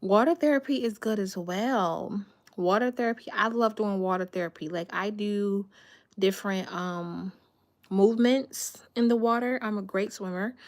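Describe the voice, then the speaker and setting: This woman has an unremarkable speaking voice at a medium pitch. She talks at a moderate pace. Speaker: lifestyle vlogger. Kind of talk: casual livestream chat.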